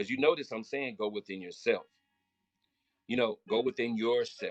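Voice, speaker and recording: A loud, animated man's voice with a Southern US accent and very wide pitch swings, dry and close with no echo, over music in the background. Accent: country Southern. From Florida. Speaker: spiritual motivational speaker. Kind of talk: live stream talk.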